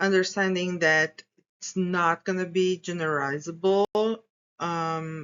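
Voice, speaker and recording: A woman's voice with a non-native accent and fairly even intonation. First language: not English. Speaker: graduate student researcher. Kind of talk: academic presentation. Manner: halting.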